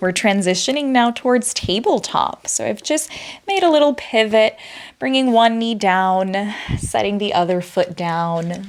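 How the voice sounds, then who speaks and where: A soft-spoken woman talks at a fairly slow pace with medium pitch and lively intonation, on a very clean recording with a silent background. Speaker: yoga instructor. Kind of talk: guided yoga class. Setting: virtual studio.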